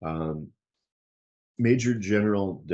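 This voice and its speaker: This man has a dark, mellow tone and an American accent. His pitch varies an ordinary amount. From New York City. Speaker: retired surgeon and military officer. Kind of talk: lecture. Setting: talk with audience and slides.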